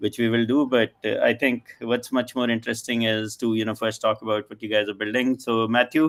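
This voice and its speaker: A man talks at a medium pitch, and his pitch varies in an ordinary way. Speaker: panel moderator and angel investor. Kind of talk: live panel discussion. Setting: live stream. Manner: fast.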